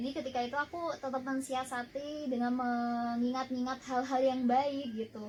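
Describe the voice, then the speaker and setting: In a monotone, flat delivery, a woman with a high pitch talks at a moderate pace with hardly any pauses. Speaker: radio announcer. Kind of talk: talk show interview.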